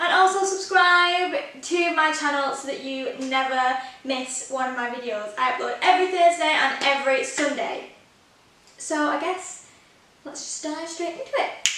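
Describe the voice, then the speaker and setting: Raising and projecting her voice, a woman with an English accent and a high pitch is heard with audible room echo and noticeable background noise. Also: ordinary pitch variation, moderate pace. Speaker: baking vlogger. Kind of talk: tutorial. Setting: home kitchen. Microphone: echoey room.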